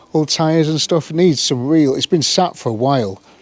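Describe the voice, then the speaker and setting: Someone with a British accent speaks at a moderate pace over noticeable background noise. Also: man. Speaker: car restoration youtuber. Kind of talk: hands-on vlog commentary. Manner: casual.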